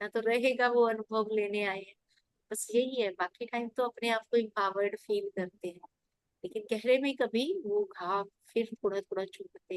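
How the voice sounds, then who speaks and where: Here is an unremarkable speaking voice: a woman at a fairly high pitch, with lively intonation. Her loudness swings widely, and the sound is dry and close with no echo. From rural India. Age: 50s. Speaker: meditation class participant. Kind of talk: sharing personal meditation experience.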